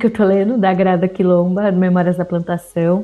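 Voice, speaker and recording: Speaking at a moderate pace, a woman can be heard through noticeable background noise. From Brazil, São José dos Campos (interior of São Paulo state). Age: 20s. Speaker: diversity consultant and communications analyst. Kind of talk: interview conversation.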